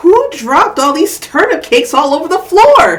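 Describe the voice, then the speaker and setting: In a put-on character voice, a woman speaks at an extremely high pitch with very wide pitch swings. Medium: read story. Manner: loud, indignant.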